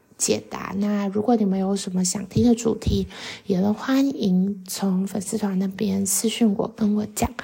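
A woman speaks at a medium pitch and a fairly slow pace. Her intonation is monotone and flat, with noticeable background noise. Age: 20s. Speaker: podcast host. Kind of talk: casual monologue. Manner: hesitant, many fillers.

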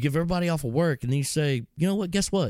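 Recorded dry and close with no echo, a man with a Texan accent speaks at a fairly high pitch. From Texas. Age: 40s. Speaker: entrepreneur and hunter. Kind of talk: casual chat.

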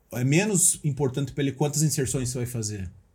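A man's dark, mellow, somewhat breathy voice moves at a moderate pace, its pitch varying in an ordinary way. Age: 40s. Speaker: motivational speaker. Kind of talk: casual chat.

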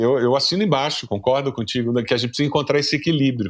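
An unremarkable speaking voice moves through ordinary pitch variation. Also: man. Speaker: pastor and seminary professor. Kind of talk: casual chat. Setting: video call.

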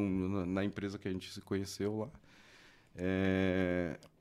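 A man talks at a moderate pace in an ordinary speaking voice, his pitch fairly low. The recording is very clean, with a silent background. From Mauá, São Paulo, Brazil. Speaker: electronics repair technician. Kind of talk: casual chat.

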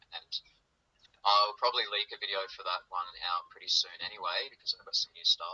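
Talking at a fairly quick pace in an Australian accent, the man's loudness swings widely. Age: 30s. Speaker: musician. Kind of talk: casual chat.

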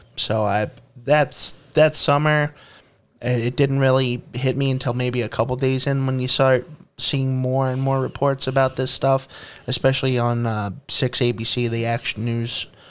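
The speaker has a Philadelphia accent and keeps the intonation fairly even. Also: man. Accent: Philadelphia-area American. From US, Pennsylvania (Bucks County, near Philadelphia). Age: 30s. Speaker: podcast co-host. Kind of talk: casual chat.

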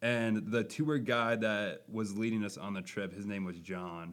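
With an American accent, a man speaks at a very slow pace and a medium pitch. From Minnesota, Buffalo. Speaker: Bible camp intern, podcast co-host. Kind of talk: casual chat. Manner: animated.

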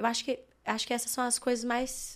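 The speaker is a woman at a fairly slow pace. The recording is very clean, with a silent background. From Belo Horizonte, Minas Gerais, Brazil. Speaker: worship singer. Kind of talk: casual interview. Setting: studio.

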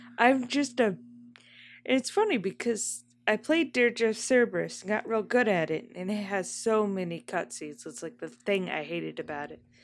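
In a very clean recording with a silent background, a woman at medium pitch speaks at a moderate pace with very wide pitch swings and big swings in loudness. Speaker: podcast co-host. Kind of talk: casual chat. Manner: soft-spoken, quiet.

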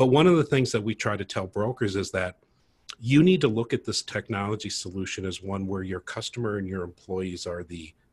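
A man talks at a fairly quick pace with ordinary pitch variation. His fairly low voice is somewhat breathy. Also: very clean recording, silent background. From Minnesota, US Midwest. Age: 50s. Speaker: tech startup co-founder, insurance broker. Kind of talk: casual interview.

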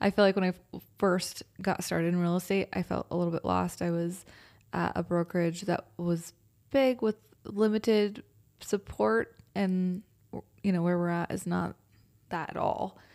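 A woman speaks with an American accent in an unremarkable speaking voice, at fairly low pitch with ordinary pitch variation. Her moderate pace comes through on a very clean recording with a silent background. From Austin area, Texas. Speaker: real estate agent. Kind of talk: casual chat.

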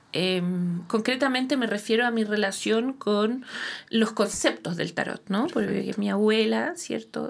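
A woman speaks fairly slowly with a Chilean accent. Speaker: tarot reader and therapist. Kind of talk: interview.

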